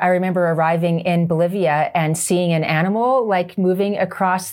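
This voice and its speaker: With a Canadian accent, a woman talks in a normal speaking voice at a medium pitch and a moderate pace. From Canada. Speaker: motorcycle trainer. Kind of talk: casual chat. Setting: on location in Canmore.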